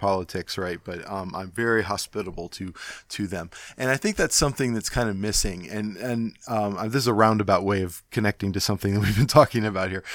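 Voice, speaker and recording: A normal speaking voice from a man with an American accent, fairly low in pitch, fairly quick and fairly even in intonation, on a very clean recording with a silent background. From Ohio (Cleveland). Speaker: podcast host. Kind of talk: casual interview chat. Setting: home recording during lockdown.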